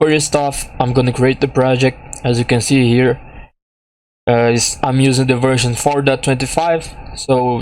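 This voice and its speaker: A man speaks at a medium pitch with a non-native accent. His delivery is fairly slow, in a flat monotone. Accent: heavy non-native. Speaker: game development tutorial maker. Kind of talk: tutorial. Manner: halting.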